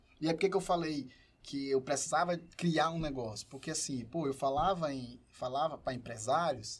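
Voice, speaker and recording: A man with a fairly high pitch and a somewhat breathy voice talks at a moderate pace, his pitch varying in an ordinary way. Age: 30s. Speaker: entrepreneur and professor. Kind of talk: casual chat.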